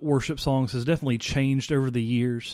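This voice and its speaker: Speaking with a Mississippi accent, a man has a dark, mellow tone. The recording is very clean, with a silent background. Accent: US Southern (Mississippi). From Mississippi, Vicksburg. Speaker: worship pastor. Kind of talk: casual chat. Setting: studio.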